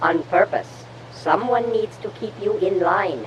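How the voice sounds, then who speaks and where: A put-on character voice that sounds female, pitched in the middle range for a woman, moves at a fairly slow pace over clear background noise. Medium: audio drama. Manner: dry, cautious.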